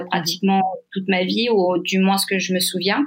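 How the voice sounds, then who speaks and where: Keeping her intonation fairly even, a woman talks at a medium pitch. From southern France, Saint-Tropez. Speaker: guest sharing bereavement story. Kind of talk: testimony. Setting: remote recording. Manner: halting. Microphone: poor sound quality.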